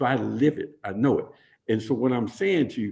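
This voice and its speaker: Somewhat breathy and dark, mellow in tone, a man's medium-pitched voice makes very wide pitch swings. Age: 70s. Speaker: city mayor. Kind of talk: interview. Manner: halting, repetitive.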